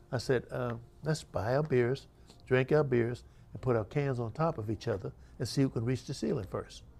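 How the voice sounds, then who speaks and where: A man speaks with vocal fry. His pitch variation is ordinary. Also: medium pitch for a man, moderate pace. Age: 80s+. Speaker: author, former marine. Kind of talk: book talk.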